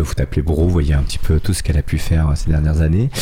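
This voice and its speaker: Noticeable background noise sits behind a man talking at a very fast pace. His intonation is fairly even. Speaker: radio host. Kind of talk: casual radio interview. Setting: radio studio.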